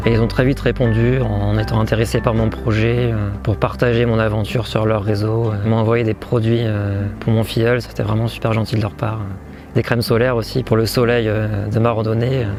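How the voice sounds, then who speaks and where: Amid noticeable background noise, a fairly low-pitched man speaks at a moderate pace with ordinary pitch variation and very even loudness. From northern France, Cambrai. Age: 20s. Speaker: long-distance hiker. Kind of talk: interview testimony. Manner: hesitant, many filler sounds.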